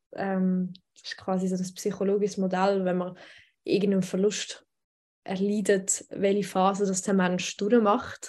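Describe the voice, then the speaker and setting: The recording is very clean with a silent background, and a woman speaks in a dark, mellow tone. Her pace is fairly slow and her intonation monotone and flat. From Switzerland. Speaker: radio news editor and poetry slam author. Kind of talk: casual interview.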